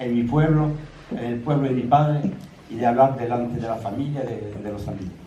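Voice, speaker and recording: Amid noticeable background noise and audible room echo, a man speaks at a medium pitch and a moderate pace, with ordinary pitch variation. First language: French (speaking Spanish). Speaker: son of exiled republican. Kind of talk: public talk. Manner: halting.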